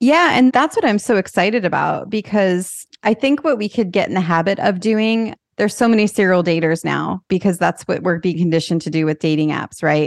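A plain, everyday voice from a woman at medium pitch, lively in intonation, fairly quick with hardly any pauses, dry and close with no echo. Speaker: podcast host. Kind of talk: casual interview.

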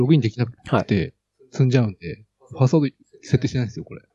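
The pitch of this man's voice sits in the medium range. There is a somewhat breathy quality to it. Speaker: software developer and hobby guitarist. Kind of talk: casual chat. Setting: Skype call. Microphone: new cheap mic at max volume, fairly quiet.

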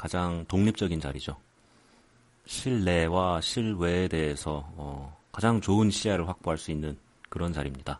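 A soft-spoken man talks at a moderate pace. His pitch is very deep and low, with ordinary variation. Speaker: podcast host. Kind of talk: casual monologue. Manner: quiet, soft-spoken.

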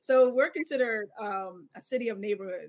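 A woman with a plain, everyday voice speaks at a moderate pace with fairly even intonation. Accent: American. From Philadelphia. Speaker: startup founder. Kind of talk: panel discussion.

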